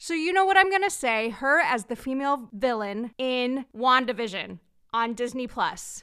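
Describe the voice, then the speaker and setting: Woman's raised, projected voice, bright and sharp in tone, with lively intonation at a moderate pace, in a very clean recording with a silent background. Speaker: podcast host. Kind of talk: casual interview chat. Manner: warm, enthusiastic.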